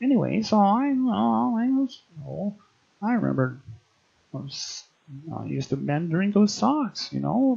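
Using a cartoonish character voice, a man speaks high in pitch at a moderate pace with long, frequent pauses. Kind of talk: comic overacting. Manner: dopey, confused.

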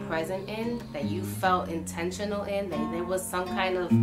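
A woman speaks with music in the background. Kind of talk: casual vlog chat. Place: home room.

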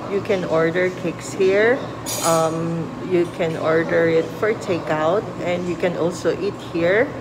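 Over noticeable background noise, a woman talks very slowly. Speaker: vlogger. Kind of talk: casual vlog chat. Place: cafe. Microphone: phone near.

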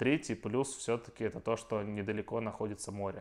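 A man with an unremarkable speaking voice, fairly low pitch, fairly even intonation and a moderate pace. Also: quiet background. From Russia. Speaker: IT worker. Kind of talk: casual chat.

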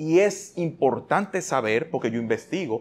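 A man with a Dominican accent speaks in an animated tone. His pace is moderate. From Dominican Republic. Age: 40s. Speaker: talk show host. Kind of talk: casual interview. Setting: studio. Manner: talkative. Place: studio. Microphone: lapel.

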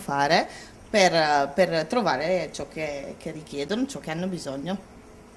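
An unremarkable speaking voice moves at a moderate pace with ordinary pitch variation over light background noise. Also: woman. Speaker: sales manager. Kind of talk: interview. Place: shop.

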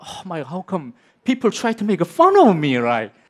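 A man with a Korean accent at a moderate pace, against a quiet background. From South Korea. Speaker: film director; speaker. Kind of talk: conference talk. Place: stage. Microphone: headset.

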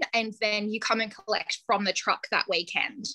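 Bright, sharp and energetic, a woman speaks in an Australian accent against a quiet background. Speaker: ice cream business founder. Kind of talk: interview. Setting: video call. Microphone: video call.

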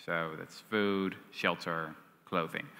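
In a Dutch accent, a man speaks with a very deep, low pitch, a bright, sharp tone and ordinary pitch variation. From Netherlands. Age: 20s. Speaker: historian and author; guest. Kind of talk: onstage interview. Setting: stage with audience. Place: stage. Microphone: headset.

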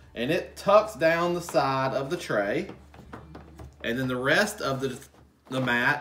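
This man's intonation is lively. He talks at a fairly slow pace. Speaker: gardening channel host. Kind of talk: tutorial. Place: home room.

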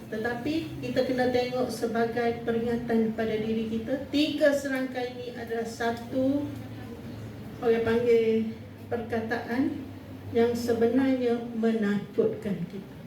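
The speech comes at a fairly slow pace with fairly even intonation, amid noticeable background noise and audible room echo. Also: woman, fairly high pitch for a woman. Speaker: state politician. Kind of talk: official speech.

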